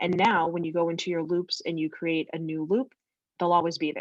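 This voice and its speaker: Her pitch is fairly low. The woman talks at a very fast pace. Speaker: real estate software trainer. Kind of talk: tutorial.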